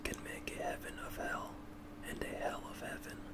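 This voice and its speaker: A man is whispering in a gentle tone. Noticeable background noise can be heard. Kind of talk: ASMR roleplay, reading quotes to a listener who cannot sleep. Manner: soft-spoken, gentle, calming.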